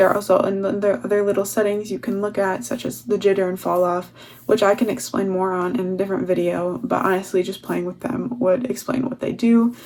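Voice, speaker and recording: Her medium-pitched voice, with ordinary pitch variation, comes through noticeable background noise as the woman talks. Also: fairly quick pace. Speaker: digital artist. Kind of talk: tutorial. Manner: fast.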